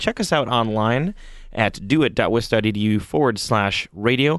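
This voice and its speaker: Against a quiet background, a man talks at a medium pitch with ordinary pitch variation. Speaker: radio co-host. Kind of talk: casual radio chat. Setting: radio studio. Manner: joking, animated.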